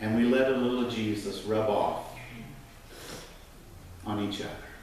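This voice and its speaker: Amid noticeable background noise, a man talks at a fairly slow pace in a fairly low voice with monotone, flat intonation. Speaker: minister giving a sermon. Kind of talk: sermon delivered to a congregation.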